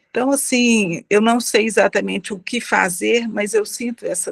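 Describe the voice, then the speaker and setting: A woman at a moderate pace, recorded dry and close with no echo. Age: 60s. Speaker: audience participant. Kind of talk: question from audience in online debate. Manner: halting.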